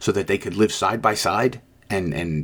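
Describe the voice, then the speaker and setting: A man with a plain, everyday voice, fairly low in pitch, with ordinary pitch variation and a moderate pace. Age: 60s. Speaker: podcast host, police lieutenant. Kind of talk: solo commentary monologue.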